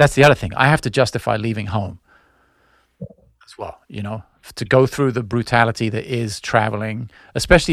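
The speaker has a normal speaking voice and a fairly quick pace. Loudness swings widely from moment to moment. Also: man. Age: 40s. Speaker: musician. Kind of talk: casual chat. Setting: video call.

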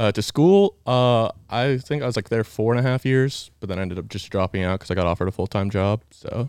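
With an American accent and an unremarkable speaking voice, a man talks with hardly any pauses and ordinary pitch variation, the sound dry and close with no echo against a quiet background. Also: medium pitch for a man, fairly quick pace. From Georgia, US (near Atlanta). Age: 20s. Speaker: ranch intern, former college swimmer. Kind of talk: casual chat.

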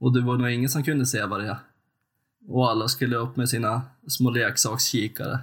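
A man speaks at a fairly quick pace, somewhat breathy. His medium pitch stays in monotone, flat intonation. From Sweden, western Jämtland. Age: 30s. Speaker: podcast co-host, hunter. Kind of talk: casual chat.

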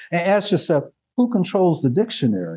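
At a very fast pace, a man talks in a high pitch with very wide pitch swings. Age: 70s. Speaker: physician and leadership teacher. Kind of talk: lecture with audience Q&A. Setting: live audience, classroom.

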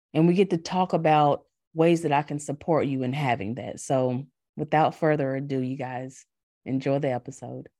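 With a North Carolina accent, a woman speaks at a moderate pace in a very deep, low voice with a dark, mellow tone and ordinary pitch variation, on a very clean recording with a silent background. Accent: North Carolina Southern. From US South, North Carolina. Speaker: podcast host and life coach. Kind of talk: scripted podcast intro and promo; casual interview conversation.

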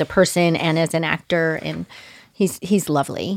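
With an American accent, the speaker keeps a moderate pace and fairly even intonation on a very clean recording with a silent background. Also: woman. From Southern California (Manhattan Beach). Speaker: actress. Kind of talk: casual chat.

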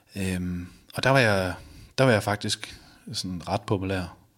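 Speaking at a very slow pace, a man uses a very deep, low pitch with ordinary pitch variation. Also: long, frequent pauses. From Denmark, Viborg (Jutland). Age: 30s. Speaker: balcony fitter sharing weight-loss story. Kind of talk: interview testimony. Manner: halting, many fillers.

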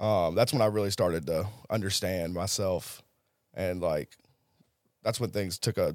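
A man with a Southern US accent talks in a very deep, low voice. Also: very clean recording, silent background. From US South (Tennessee, then Jackson, Mississippi). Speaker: person in addiction recovery. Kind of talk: personal testimony.

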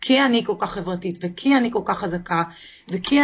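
This is a normal speaking voice, delivered at a moderate pace with lively intonation. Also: woman. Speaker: author. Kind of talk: interview.

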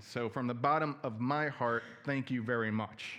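A man with an American accent has an ordinary speaking voice at a medium pitch. He speaks at a fairly slow pace with fairly even intonation against a quiet background. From New Jersey. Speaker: preacher. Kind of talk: sermon.

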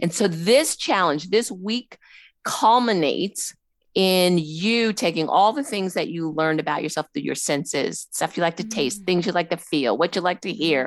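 A woman in a normal speaking voice talks at a moderate pace with a fairly low pitch and lively intonation against a quiet background. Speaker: life coach. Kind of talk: casual chat.

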